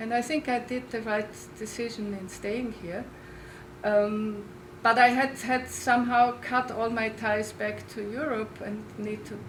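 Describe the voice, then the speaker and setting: In a strong Austrian accent, a woman speaks fairly slowly at a fairly high pitch, with fairly even intonation, big swings in loudness, audible room echo and noticeable background noise. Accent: Austrian accent, strong, lasting. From Austria, Linz. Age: 60s. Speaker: oral historian. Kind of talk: lecture. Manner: halting, with repeated words.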